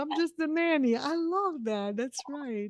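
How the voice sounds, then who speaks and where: With a Brazilian accent, a woman speaks at a high pitch with very wide pitch swings, the sound dry and close with no echo. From southern Brazil. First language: Portuguese. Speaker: podcast host. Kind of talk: interview.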